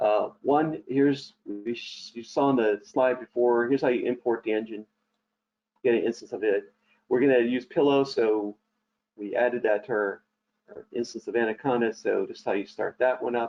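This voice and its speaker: A man with a plain, everyday voice talks at a moderate pace, medium in pitch and with fairly even intonation. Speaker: software trainer. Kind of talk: tutorial. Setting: online webinar.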